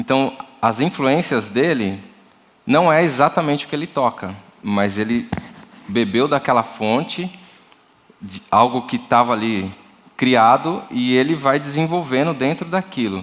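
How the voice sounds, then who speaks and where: A man speaks at a medium pitch and a fairly slow pace with lively intonation. Long, frequent pauses break up his speech over noticeable background noise. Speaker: church music workshop leader, drummer. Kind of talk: workshop talk. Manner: halting, repeats words.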